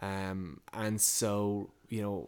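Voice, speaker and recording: A very clean recording with a silent background, in an Irish accent. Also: man. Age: 30s. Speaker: entrepreneur. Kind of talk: interview.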